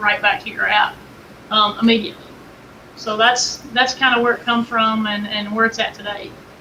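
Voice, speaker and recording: A woman with a Southern US accent talks at a fairly quick pace in a fairly high pitch with monotone, flat intonation over noticeable background noise. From Kentucky. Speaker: game camera company representative. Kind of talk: interview.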